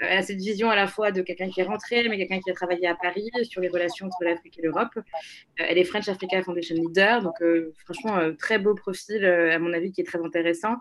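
A woman speaks very fast at a medium pitch with fairly even intonation. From Togo, Lomé. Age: 20s. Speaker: public policy incubator co-founder. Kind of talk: interview conversation.

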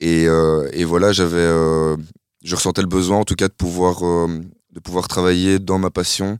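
A man's very deep, low voice in monotone, flat intonation at a fairly slow pace, on a very clean recording with a silent background. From Belgium, Nivelles area. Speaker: club artistic director and DJ. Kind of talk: interview conversation. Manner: halting, many repetitions and fillers.

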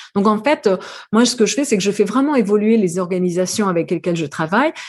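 A woman talks at a medium pitch, her voice somewhat breathy and her pitch variation ordinary. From New Caledonia. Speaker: AI ethics consultant and lecturer. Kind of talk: interview. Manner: hesitant, frequent repetitions.

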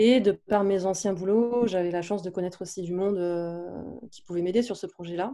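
Her tone is dark and mellow. The woman's pitch is medium. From southeastern France. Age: 30s. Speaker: digital marketing entrepreneur and yoga teacher. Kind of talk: casual interview. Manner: hesitant, many fillers.

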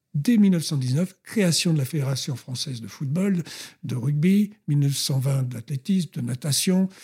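Lively intonation marks this man's fairly high, somewhat breathy voice. The tone is dark and mellow. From France (born in Colombes, near Paris). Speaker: former athlete and history author. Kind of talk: interview, historical storytelling. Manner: animated.

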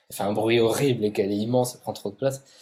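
His intonation is fairly even and his pitch medium. The man speaks at a very fast pace. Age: 20s. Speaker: YouTuber and ASMR artist. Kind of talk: interview conversation. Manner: halting.

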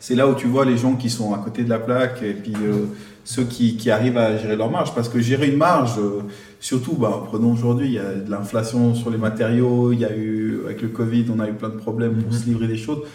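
A man at a medium pitch speaks with fairly even intonation amid noticeable background noise and audible room echo. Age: 30s. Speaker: mortgage credit manager. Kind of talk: casual chat.

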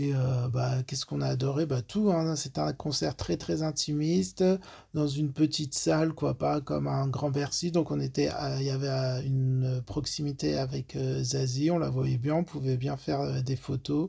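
A man talking at a fairly slow pace on a very clean recording with a silent background. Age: 30s. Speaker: nurse. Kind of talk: testimony. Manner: halting.

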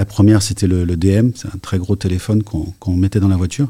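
On a very clean recording with a silent background, a man speaks at a moderate pace in a very deep, low voice that is somewhat breathy, with a dark, mellow tone. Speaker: tech executive. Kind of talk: interview. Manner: halting.

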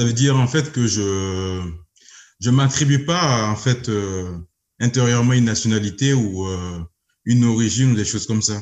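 The speech moves at a moderate pace with long, frequent pauses and ordinary pitch variation. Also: man, medium pitch for a man. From Burkina Faso. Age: 30s. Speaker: engineer and entrepreneur. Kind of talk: interview. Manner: hesitant, many fillers.

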